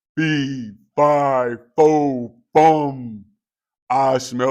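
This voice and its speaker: A man's bellowing, put-on character voice at a medium pitch. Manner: roaring, booming.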